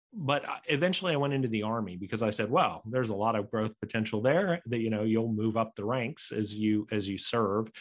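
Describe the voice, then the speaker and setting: A normal speaking voice with an American accent, moderate in pace with ordinary pitch variation, over a quiet background. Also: man. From United States. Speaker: entrepreneur and author. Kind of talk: podcast interview.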